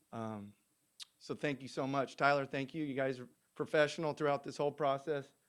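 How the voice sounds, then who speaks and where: Fairly quick male speech in an American accent with fairly even intonation. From Southern California. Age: 40s. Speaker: golf coach and former tour professional. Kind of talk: press conference speech. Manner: halting, many fillers and restarts.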